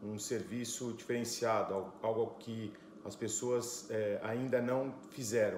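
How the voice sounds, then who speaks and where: Over noticeable background noise and audible room echo, a man with a medium pitch speaks very slowly in a monotone, flat intonation. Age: 40s. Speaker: entrepreneur. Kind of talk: conference talk.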